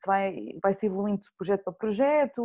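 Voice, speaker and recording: Over a quiet background, a woman with a dark, mellow tone speaks at a very fast pace. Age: 20s. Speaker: journalist. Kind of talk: casual chat.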